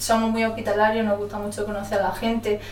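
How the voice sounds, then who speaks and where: In a room with audible echo, a woman speaks in a fairly high, monotone, flat voice. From Ceuta, Spain, Moroccan family. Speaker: sociology student. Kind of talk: casual interview.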